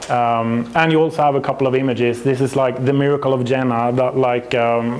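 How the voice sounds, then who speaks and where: A man with a Swedish accent, medium in pitch, monotone and flat in intonation, at a fairly quick pace amid noticeable background noise. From Sweden. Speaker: astrophysicist and company representative. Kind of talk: conference presentation. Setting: stage with audience. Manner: halting.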